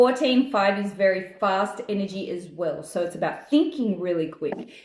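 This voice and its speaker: A woman with an Australian accent speaks at a fairly slow pace. Her tone is animated and her intonation lively. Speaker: numerologist. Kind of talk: daily reading monologue.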